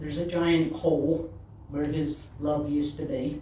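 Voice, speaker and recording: Against noticeable background noise, the speech moves at a fairly slow pace. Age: 60s. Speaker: minister. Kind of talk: sermon.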